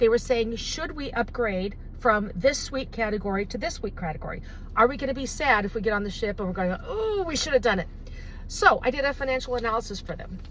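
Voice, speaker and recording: A woman speaks in a high pitch at a fairly quick pace, with an animated tone and lively intonation. Noticeable background noise can be heard. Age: 60s. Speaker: travel advisor. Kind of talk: promotional talk to camera.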